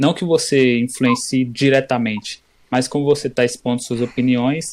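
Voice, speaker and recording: A man of medium pitch has an ordinary speaking voice with fairly even intonation. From interior Bahia, Chapada Diamantina. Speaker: podcast co-host. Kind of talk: casual chat.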